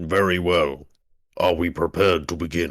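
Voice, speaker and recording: Using a put-on character voice, a man speaks at a moderate pace in a raspy, very deep, low pitch. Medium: actual play. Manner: clipped, formal, broken grammar.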